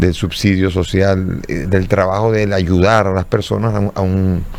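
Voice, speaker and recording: Very deep and low, a man's voice moves at a moderate pace. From Dominican Republic. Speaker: bishop. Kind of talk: interview. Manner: halting, with repetitions.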